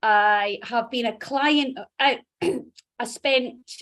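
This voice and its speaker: This woman speaks with a Dundee accent. Her pitch is high. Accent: Dundee Scottish. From Scotland, Dundee. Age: 40s. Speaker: HR executive, fitness client. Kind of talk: interview testimony.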